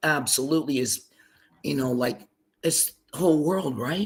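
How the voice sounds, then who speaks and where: Speaking at a fairly high pitch, a man shows ordinary pitch variation. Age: 60s. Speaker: songwriter. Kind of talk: casual chat. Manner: animated.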